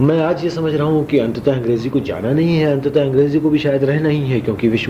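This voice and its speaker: A man with a fairly high pitch and lively intonation is heard with audible room echo and noticeable background noise. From Bihar, Mithila region, India. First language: Maithili and Rajasthani (speaking Hindi). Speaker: theatre actor and director. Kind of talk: interview. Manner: formal.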